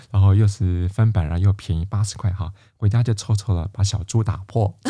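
On a very clean recording with a silent background, a man speaks with fairly even intonation in a somewhat breathy voice with a dark, mellow tone. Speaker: classical music radio host. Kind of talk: casual interview chat.

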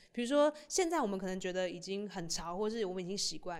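A woman's animated, medium-pitched voice at a moderate pace, in a very clean recording with a silent background. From Taiwan. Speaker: stand-up comedian and podcast host. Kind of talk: casual chat.

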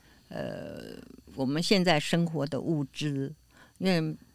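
Every word comes out very slowly. Behind the voice there is silence, and the recording is very clean. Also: woman. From Taiwan, came from Beijing as a child. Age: 80s+. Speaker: elderly interviewee, community volunteer. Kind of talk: casual interview.

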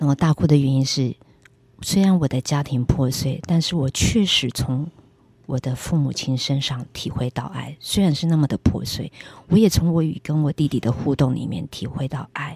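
A woman speaks at a moderate pace in a very deep, low voice with a dark, mellow tone, somewhat breathy and with ordinary pitch variation, on a very clean recording with a silent background and a dry, close sound with no echo. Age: 50s. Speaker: preacher. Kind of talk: testimony.

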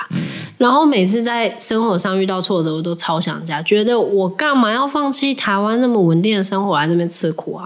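Over noticeable background noise, a woman talks fairly quickly at medium pitch with lively intonation. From Taiwan. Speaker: podcast co-host. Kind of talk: casual chat.

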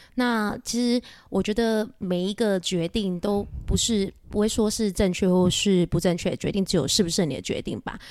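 A plain, everyday voice from a woman at medium pitch, moderate pace and ordinary pitch variation, with hardly any pauses, on a very clean recording with a silent background. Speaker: private banker. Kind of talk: interview conversation.

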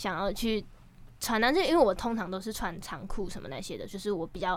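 Talking very fast, the woman keeps her pitch fairly high. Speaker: rapper and singer-songwriter. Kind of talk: casual interview chat.

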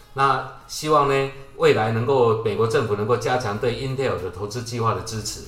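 A man talks at a moderate pace with fairly even intonation and a medium pitch. The room echo is audible, and there is noticeable background noise. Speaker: tech industry podcast co-host. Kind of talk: casual chat.

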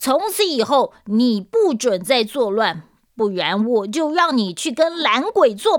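Reading voice, unforced

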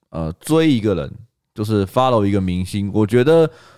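A man with a Taiwanese accent speaks at a moderate pace in a medium-pitched voice. His intonation is lively, and the recording is very clean with a silent background. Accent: Taiwanese Mandarin. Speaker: podcast co-host. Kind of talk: casual chat. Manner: animated.

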